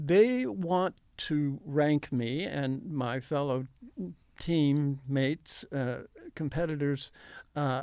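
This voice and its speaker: Very slow and marked by long, frequent pauses, a man's fairly high voice with a dark, mellow tone and ordinary pitch variation comes through in a very clean recording with a silent background. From Ohio, US Midwest. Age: 70s. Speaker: senior triathlete. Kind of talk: interview. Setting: studio. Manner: halting, many fillers.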